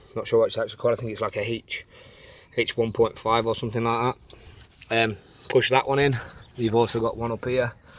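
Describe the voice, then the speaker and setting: This man talks at a very fast pace. His speech is broken by long, frequent pauses. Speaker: car DIY youtuber. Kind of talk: tutorial. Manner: loud.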